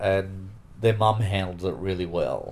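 Very deep and low, a man's voice carries an Australian accent and a monotone, flat intonation. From Sydney, Australia. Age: 40s. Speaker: interviewee sharing personal story. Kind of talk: personal interview testimony. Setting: at his home.

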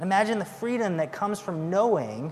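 A man speaks fairly slowly with ordinary pitch variation as noticeable noise fills the background. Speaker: assistant pastor. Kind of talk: sermon. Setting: church.

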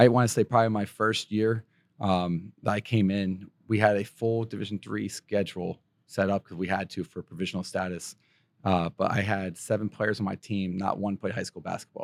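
A man speaks at a moderate pace in a fairly low, monotone voice with flat intonation, recorded dry and close with no echo against a silent background in a very clean recording. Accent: American. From western Pennsylvania. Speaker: college basketball coach. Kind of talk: interview. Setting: basketball event venue.

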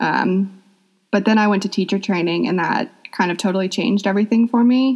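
An unremarkable speaking voice from a woman, medium in pitch, with ordinary pitch variation and a fairly quick pace. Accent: American. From US South, Atlanta, Georgia. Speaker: yoga teacher. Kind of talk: interview.

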